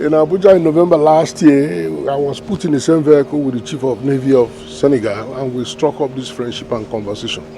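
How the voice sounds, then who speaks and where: A man's medium-pitched voice at a fairly quick pace, very wide pitch swings, hardly any pauses, and noticeable background noise behind him. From Nigeria. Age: 60s. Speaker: retired diplomat, regional maritime commission official. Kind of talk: interview. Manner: hesitant with fillers.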